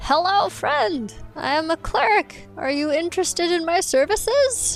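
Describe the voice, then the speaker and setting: A woman puts on a character voice at an extremely high pitch. Faint music plays in the background. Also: moderate pace. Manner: loud, cheerful, friendly.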